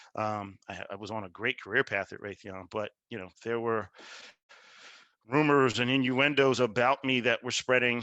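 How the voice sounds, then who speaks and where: In a dry, close sound with no echo and a quiet background, a man with an American accent speaks at a moderate pace with fairly even intonation and a bright, sharp tone. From Philadelphia, US. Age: 50s. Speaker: keynote speaker, communications executive. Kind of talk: keynote speech.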